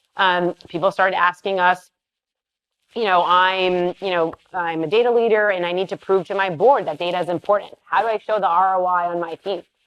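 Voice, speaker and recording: A woman's medium-pitched voice at a fairly quick pace with fairly even intonation, in a dry, close sound with no echo. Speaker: tech startup founder and CEO. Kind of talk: interview on stage. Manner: hesitant, many fillers.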